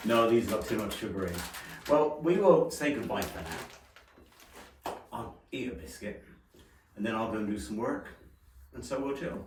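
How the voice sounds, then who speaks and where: Lively intonation marks this man's medium-pitched voice at a fairly slow pace. Audible room echo and noticeable background noise surround him. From England. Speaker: renovation vlogger. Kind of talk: casual chat.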